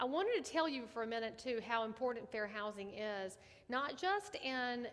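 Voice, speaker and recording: Speaking at a moderate pace, a woman with a Southern US accent has a fairly high voice. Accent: Southern US country. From US South. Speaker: real estate agent and ethics trainer. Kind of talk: online training class. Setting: live stream. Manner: animated.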